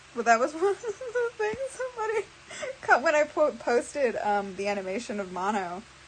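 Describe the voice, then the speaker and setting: Noticeable background noise fills the recording. Over it, a woman talks at a moderate pace. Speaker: streamer, animator. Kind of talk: casual live stream chat. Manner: halting, many fillers.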